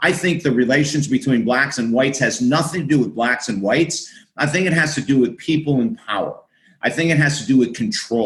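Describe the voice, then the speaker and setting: With an American accent, a man speaks at a fairly quick pace. His voice is fairly high-pitched and somewhat breathy. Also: ordinary pitch variation. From US Northeast (Syracuse, New York). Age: 60s. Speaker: author and minister. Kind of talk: podcast interview. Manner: animated.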